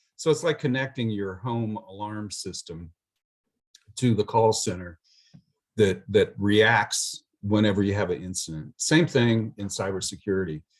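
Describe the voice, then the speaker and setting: Speaking with lively intonation in an ordinary speaking voice, a man talks fairly slowly at a fairly low pitch. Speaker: IT services presenter. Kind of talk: webinar presentation. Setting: video call.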